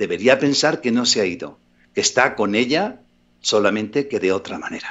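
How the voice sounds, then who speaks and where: At a moderate pace, a man speaks. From Andalusia, Spain (Málaga). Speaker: actor and psychic. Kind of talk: interview.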